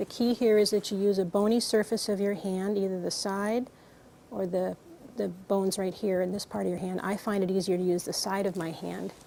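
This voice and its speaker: A woman's medium-pitched voice, fairly quick, with fairly even intonation over noticeable background noise. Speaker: clinician giving a physical exam. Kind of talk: medical exam instruction to a patient.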